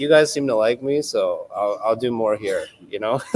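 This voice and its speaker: Speaking with a Canadian accent at a fairly slow pace, a man comes through noticeable background noise. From western Canada. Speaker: male pageant contestant. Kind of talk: interview. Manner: casual, filler-heavy.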